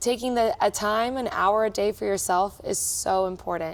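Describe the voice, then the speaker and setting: A woman talks in a plain, everyday voice at a medium pitch. She goes at a fairly slow pace with fairly even intonation. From Texas, Austin. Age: 20s. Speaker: cruise director. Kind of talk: interview.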